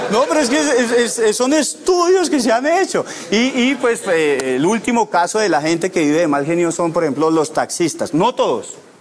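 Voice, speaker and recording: A man's high-pitched voice with very wide pitch swings, very even loudness, a moderate pace, hardly any pauses, and light background noise. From Bogotá, Colombia. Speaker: comedian; stand-up comedian. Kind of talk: stand-up. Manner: repeats words, halting starts. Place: studio. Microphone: lapel.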